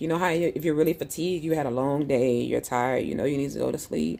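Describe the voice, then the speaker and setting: Speaking very fast, a woman uses a very deep, low voice with a dark, mellow tone and vocal fry. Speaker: live streamer sharing health journey. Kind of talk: casual live stream chat. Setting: live stream near hospital.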